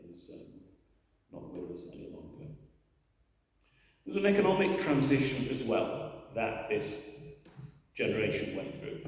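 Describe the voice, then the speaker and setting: With a Lancashire accent, a man speaks at a moderate pace and a fairly high pitch, his pitch swinging very widely and his loudness varying a lot, with long, frequent pauses and audible room echo. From northern England, Preston. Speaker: community speaker. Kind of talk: speech at a commemorative church service. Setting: church. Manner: halting, many fillers.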